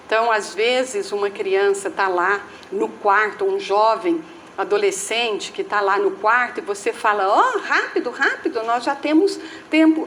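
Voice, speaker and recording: Fairly slow and fairly high, a woman's voice makes very wide pitch swings over noticeable background noise. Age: 70s. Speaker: spiritist lecturer. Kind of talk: talk at a spiritist center.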